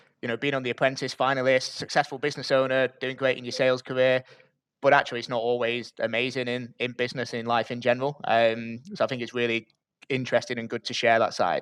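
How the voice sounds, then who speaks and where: In a northern English accent, a man speaks at a very fast pace with a medium pitch and monotone, flat intonation. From northern England, Bury. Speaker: podcast host. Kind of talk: podcast interview.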